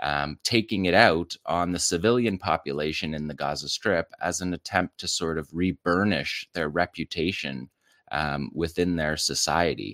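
A man with a very deep, low voice talks at a moderate pace with hardly any pauses and ordinary pitch variation. The recording is very clean and dry, close-miked with no echo over a silent background. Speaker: military analyst. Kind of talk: video analysis commentary.

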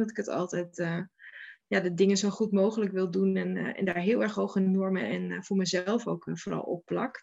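Her pitch sits in the medium range as a woman talks. She moves at a moderate speed. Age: 40s. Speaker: local government programme manager. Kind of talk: interview. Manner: halting.

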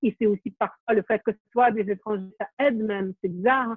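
At a fairly quick pace, a woman talks with fairly even intonation in an ordinary speaking voice. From Ukraine. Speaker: documentary filmmaker. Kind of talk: interview.

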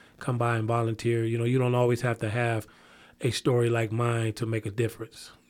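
A plain, everyday voice from a man with an American accent, medium in pitch, at a moderate pace, on a very clean recording with a silent background. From northern Illinois, near Chicago. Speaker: community violence prevention coordinator. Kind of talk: interview.

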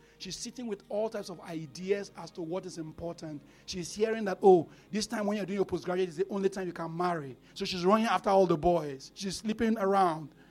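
Over music in the background, a man with a high voice talks at a fairly quick pace with ordinary pitch variation. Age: 40s. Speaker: pastor. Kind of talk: sermon.

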